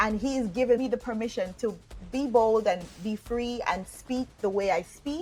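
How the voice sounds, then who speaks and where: With a Jamaican accent, a woman speaks at a moderate pace in a fairly high pitch with ordinary pitch variation. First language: Jamaican Patois. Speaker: online business coach. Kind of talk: motivational talk to camera. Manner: casual.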